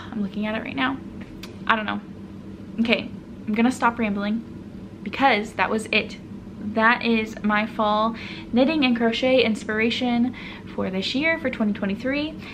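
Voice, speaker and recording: Audible room echo surrounds a woman speaking at a fairly high pitch and a moderate pace, with fairly even intonation and long, frequent pauses. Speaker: knitting and crochet podcaster. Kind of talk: casual solo vlog talk.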